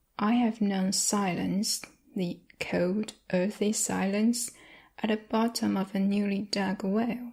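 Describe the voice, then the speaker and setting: A woman's somewhat breathy, dark, mellow voice of medium pitch, very slow in pace, monotone and flat in intonation, with very even loudness. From China. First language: Chinese. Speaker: ASMR creator. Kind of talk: love letter reading.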